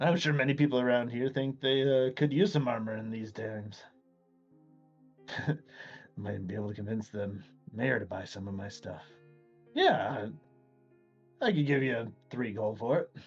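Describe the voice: Over faint background music, a man does a gruff put-on character voice at medium pitch and a moderate pace, with long, frequent pauses.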